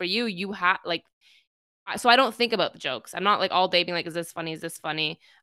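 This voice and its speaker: Bright and sharp in tone, a woman's medium-pitched voice comes through a dry, close sound with no echo on a very clean recording with a silent background. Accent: Canadian. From Middle Eastern heritage. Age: 30s. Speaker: podcast host, improviser. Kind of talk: casual interview chat.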